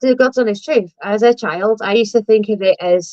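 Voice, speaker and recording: A woman with a Lancashire accent speaks at a fairly high pitch with ordinary pitch variation, in a dry, close sound with no echo. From northern England, Blackpool. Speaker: live stream host. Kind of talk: casual chat. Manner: animated.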